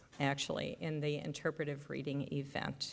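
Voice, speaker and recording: A woman at a moderate pace with a slight Midwestern accent. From US Midwest, Chicago. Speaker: speech and debate coach, math teacher. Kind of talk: ceremony welcome speech. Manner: hesitant, many fillers.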